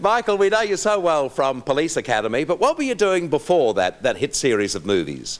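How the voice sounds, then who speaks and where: A man with an Australian accent, fairly high-pitched with vocal fry, at a fairly quick pace with very wide pitch swings and hardly any pauses. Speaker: TV talk show host. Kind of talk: talk show host introduction and questions.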